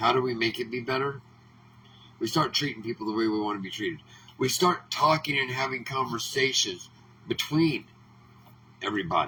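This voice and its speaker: A man's animated, fairly quick speech with an American accent, medium pitch, ordinary pitch variation and long, frequent pauses. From Oregon. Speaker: political commentator. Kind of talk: political monologue.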